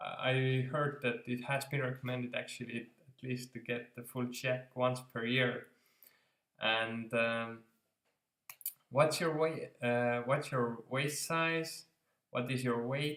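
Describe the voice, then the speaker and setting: Speaking very slowly, a man keeps a medium pitch and fairly even intonation. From Estonia. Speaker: self-improvement vlogger. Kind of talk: casual vlog talk. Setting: home, on couch. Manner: halting, many fillers.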